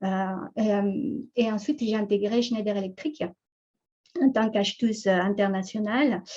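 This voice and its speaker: Her voice is medium in pitch and somewhat breathy, with a dark, mellow tone and fairly even intonation. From Ecuador. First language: Spanish (speaking French). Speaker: entrepreneur, conference speaker. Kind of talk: talk on professional background. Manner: halting, many fillers and repetitions.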